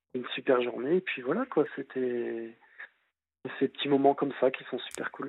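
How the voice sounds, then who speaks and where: A man at a medium pitch, with fairly even intonation, a moderate pace and long, frequent pauses. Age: 30s. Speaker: childminder, former gendarme. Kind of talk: phone-in chat.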